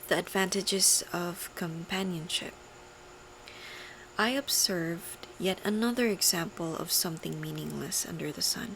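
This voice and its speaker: A soft-spoken woman with a fairly low pitch amid noticeable background noise. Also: ordinary pitch variation, moderate pace. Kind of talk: ASMR scripture reading.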